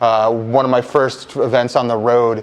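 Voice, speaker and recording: A man speaks at a medium pitch with an American accent. His intonation is monotone and flat. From Buffalo, New York (US Northeast). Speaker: assistant athletic director for broadcasting. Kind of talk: casual interview. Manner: loud.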